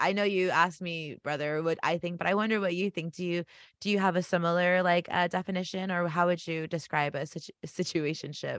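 A woman speaks at a fairly quick pace with hardly any pauses, her pitch fairly low and her intonation monotone and flat. The sound is dry and close with no echo, over a quiet background. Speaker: podcast co-host. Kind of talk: casual chat. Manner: fast talker.

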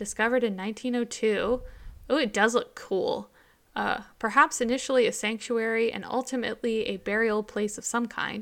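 A plain, everyday voice, this woman speaks at a fairly high pitch with fairly even intonation and a moderate pace. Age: 30s. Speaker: podcast co-host. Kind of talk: casual chat.

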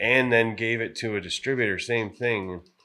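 With an American accent, a man speaks in a bright, sharp tone at a fairly low pitch, captured in a very clean recording against a silent background. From Wisconsin, La Crosse. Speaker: glassblower. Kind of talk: casual chat.

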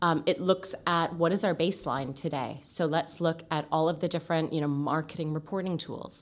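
Speaking at a moderate pace with hardly any pauses, a woman uses a fairly low pitch and fairly even intonation. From Canada. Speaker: recruitment marketing agency owner. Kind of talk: podcast interview. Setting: in person studio.

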